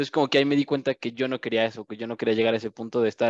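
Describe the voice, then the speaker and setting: The man's voice sits at a medium pitch, and his intonation stays fairly even. The sound is dry and close with no echo, and the background is quiet. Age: 20s. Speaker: startup entrepreneur. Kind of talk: podcast interview.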